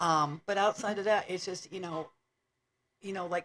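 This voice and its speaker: Using an unremarkable speaking voice, a woman talks at medium pitch, her pitch varying in an ordinary way. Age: 60s. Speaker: podcast co-host, widow. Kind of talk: casual chat.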